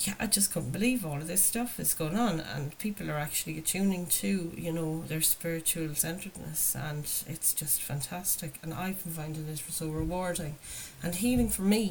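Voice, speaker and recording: Fairly low in pitch, a woman talks at a moderate pace with ordinary pitch variation. Noticeable background noise sits behind her. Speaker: tarot reader and recovery channel host. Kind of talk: spiritual card reading monologue. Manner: hesitant, filler-heavy.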